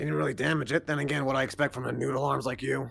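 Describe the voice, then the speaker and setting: A man puts on a raspy character voice at medium pitch, speaking at a very fast pace. His intonation is lively, and there is light background noise. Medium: virtual streamer. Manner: laid-back, patient, joking.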